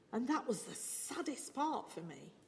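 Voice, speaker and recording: A woman speaks with audible echo from the room. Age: 60s. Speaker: preacher and church musician. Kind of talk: sermon.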